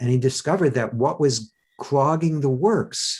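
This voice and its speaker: A man speaks fairly slowly, his voice somewhat breathy. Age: 60s. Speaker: self-help teacher and speaker. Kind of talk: interview. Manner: halting, with frequent stammers and restarts.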